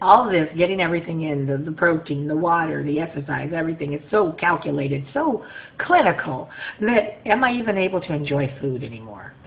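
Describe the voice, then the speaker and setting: A woman's fairly low voice at a fairly quick pace, lively in intonation, over noticeable background noise. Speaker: vlogger sharing weight-loss surgery journey. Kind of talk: casual video diary. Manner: fast; animated.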